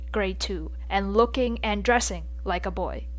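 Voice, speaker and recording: A woman's voice with music in the background. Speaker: podcast host. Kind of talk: casual podcast talk. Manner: stuttering.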